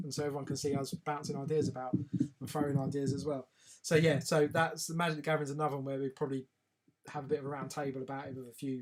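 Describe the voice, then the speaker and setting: Music plays in the background as the speaker talks at a very fast pace with an English accent. The intonation is monotone and flat. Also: man. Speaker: live stream host. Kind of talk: casual live stream chat. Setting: live video stream.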